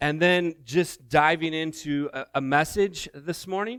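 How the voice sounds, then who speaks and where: With no echo, the sound is dry and close, and the recording is very clean against a silent background. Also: man. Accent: American. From US Midwest (Indiana). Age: 40s. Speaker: missions director, guest speaker. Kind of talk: sermon. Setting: church. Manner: loud.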